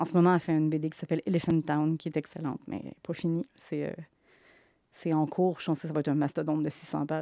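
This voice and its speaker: On a very clean recording with a silent background, a woman with a Quebec accent talks very fast in a very deep, low voice, her tone dark and mellow and her intonation monotone and flat. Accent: Québécois French. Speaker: comic book author. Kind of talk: interview.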